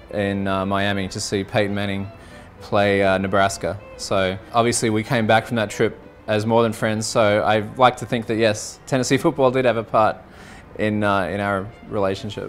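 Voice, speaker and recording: Music plays in the background as a man with an Australian accent speaks at a moderate pace. His pitch is fairly low and his intonation fairly even. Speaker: college football fan. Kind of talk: interview answer. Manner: casual, hesitant.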